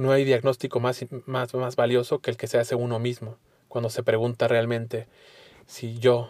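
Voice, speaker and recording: A man speaks at a medium pitch in a flat monotone. The sound is dry and close, with no echo. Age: 30s. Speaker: podcast host, recovering addict. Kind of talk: solo monologue.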